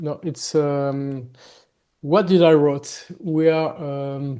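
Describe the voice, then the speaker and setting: A man's dark, mellow voice with a slight French accent, fairly high in pitch, fairly even in intonation and very slow, against a quiet background. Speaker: gothic metal musician. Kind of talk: interview. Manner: halting, many fillers.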